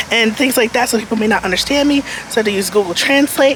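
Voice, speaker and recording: A woman's fairly high voice with ordinary pitch variation over noticeable background noise. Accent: American. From United States. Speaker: lifestyle vlogger. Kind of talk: vlog, casual talk to camera. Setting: outdoors, walking on the street. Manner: casual, filler-heavy (um, like).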